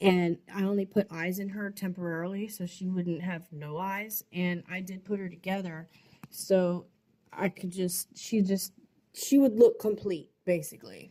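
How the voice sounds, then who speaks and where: At a fairly slow pace, a woman speaks with a medium pitch, a dark, mellow tone, and a somewhat breathy quality, her loudness swinging widely. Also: fairly even intonation. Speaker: doll artist. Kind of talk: casual vlog voice-over. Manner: halting.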